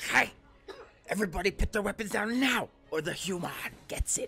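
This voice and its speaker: Someone does a put-on character voice at a fairly high pitch and a fairly quick pace. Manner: threatening, bullying.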